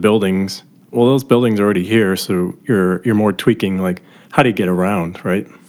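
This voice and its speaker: With an American accent and an unremarkable speaking voice, a man speaks fairly quickly at a fairly low pitch and with fairly even intonation. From US Midwest, Milwaukee. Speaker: podcast host. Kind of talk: casual interview; scripted intro.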